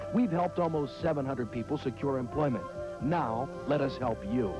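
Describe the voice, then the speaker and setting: Backed by music, a man talks at a fairly quick pace in a medium pitch with lively intonation and very even loudness. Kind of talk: public service announcement narration.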